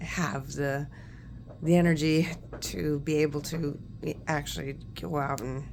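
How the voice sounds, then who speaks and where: A woman's very deep, low voice with ordinary pitch variation, a fairly slow pace, long, frequent pauses and audible room echo. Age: 60s. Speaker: nurse working from home, vlogger. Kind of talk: casual chat. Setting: home. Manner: hesitant, many fillers.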